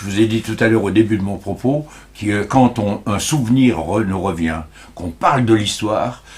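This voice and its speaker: With ordinary pitch variation, the speaker talks at a moderate pace in a somewhat breathy voice. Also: man, fairly low pitch for a man. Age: 70s. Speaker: local heritage association president. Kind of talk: interview. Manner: halting.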